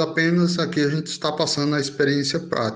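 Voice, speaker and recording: A man speaks with monotone, flat intonation. Audible room echo surrounds his voice. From Belo Horizonte, then Brazilian Northeast sertão from age 12. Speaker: writer. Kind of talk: interview. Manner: halting.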